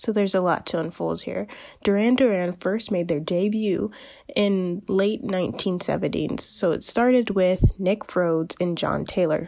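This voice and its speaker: Speaking with an unremarkable speaking voice, a woman keeps a medium pitch, varies it in an ordinary way and talks at a moderate pace. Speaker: college internet radio host. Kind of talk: radio DJ patter, a chatty college-radio music segment with a sign-off. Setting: college internet radio station podcast. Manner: upbeat, bubbly and conversational, with casual fillers and an eager 'Yay!'; informal and friendly, but sometimes stumbling over names and facts.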